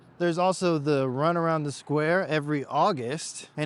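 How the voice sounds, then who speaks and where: Here a man uses a normal speaking voice at a moderate pace. His pitch is fairly high, with ordinary variation. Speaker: real estate agent giving neighborhood tour. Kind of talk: walking tour vlog. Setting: outdoors walking along a busy road.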